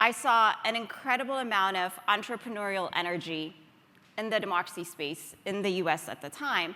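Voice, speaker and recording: An unremarkable speaking voice with an American accent, lively intonation and a moderate pace. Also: woman. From Ethiopia. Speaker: nonprofit founder and CEO. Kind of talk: conference talk.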